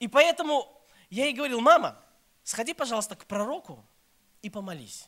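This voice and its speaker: A man with an extremely high pitch, lively intonation and a bright, sharp tone, at a moderate pace with long, frequent pauses. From Belarus, Minsk. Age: 30s. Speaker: pastor. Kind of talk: sermon.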